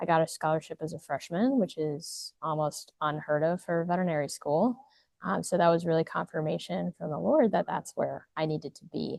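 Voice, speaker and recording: Talking at a fairly quick pace, a woman with a fairly low pitch and ordinary pitch variation swings widely in loudness. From United States. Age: 20s. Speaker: veterinarian and missionary field worker. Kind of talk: interview testimony. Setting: recorded at a conference. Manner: hesitant with many fillers.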